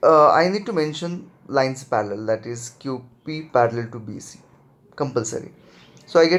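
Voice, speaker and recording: A man speaks with an Indian accent. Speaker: math teacher. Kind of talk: lecture.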